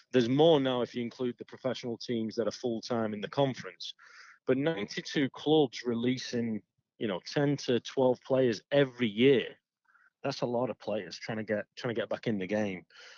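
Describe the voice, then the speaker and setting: A man with an American accent speaks at medium pitch and a moderate pace with ordinary pitch variation, the sound dry and close with no echo. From Stockport, Greater Manchester, England. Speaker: soccer coach. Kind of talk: interview.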